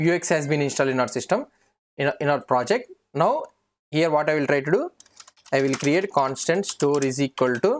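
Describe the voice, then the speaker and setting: A man at a moderate pace with ordinary pitch variation, over light background noise. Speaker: programming instructor. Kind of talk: tutorial.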